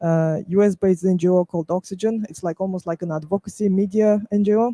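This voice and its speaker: In a Russian accent, a man speaks very fast with a high pitch, fairly even intonation and a dark, mellow tone, recorded dry and close with no echo. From Russia, Lake Baikal region. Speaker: footwear business founder and activist. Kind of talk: panel discussion. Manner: halting, many fillers.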